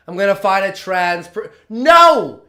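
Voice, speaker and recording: A man's raised, projected voice carries a bright, sharp tone. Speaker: streamer reacting to a video. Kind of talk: reaction commentary. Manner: animated.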